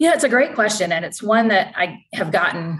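A woman speaks in a Southern US accent at a moderate pace. Her intonation is lively. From North Carolina, US South. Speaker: interior design sales executive. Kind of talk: professional interview.

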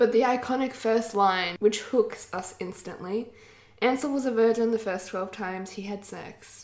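An unforced reading voice. It has ordinary pitch variation.

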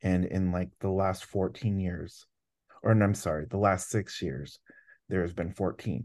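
A man with a very deep, low pitch at a fairly slow pace, against a quiet background. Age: 30s. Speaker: university student-life administrator and anti-hazing speaker. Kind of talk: casual interview.

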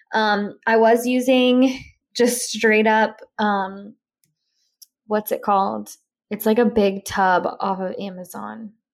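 Very slow speech from a woman, fairly high in pitch and fairly even in intonation. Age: 20s. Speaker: lifestyle podcaster. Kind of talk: casual chat. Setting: at home.

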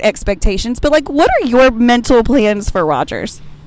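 Moderate pace, with noticeable background noise. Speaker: fan vlogger interviewing fellow concertgoers. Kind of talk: casual chat.

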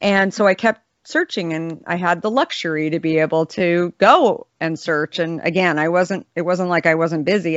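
In a normal speaking voice, a woman with an American accent speaks at a moderate pace, her pitch fairly low and intonation fairly even. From Arizona (Scottsdale). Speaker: beverage company founder and CEO. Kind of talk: casual interview.

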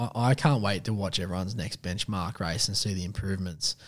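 With an Australian accent, a man speaks at a moderate pace in a fairly low pitch that varies in an ordinary way. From Western Sydney, Australia. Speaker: podcast host. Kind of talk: casual interview.

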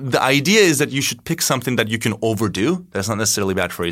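Very fast and with lively intonation, a man in a Turkish accent speaks in a bright, sharp tone on a very clean recording with a silent background. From Turkey, Istanbul. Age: 30s. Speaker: tech company CEO. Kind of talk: interview.

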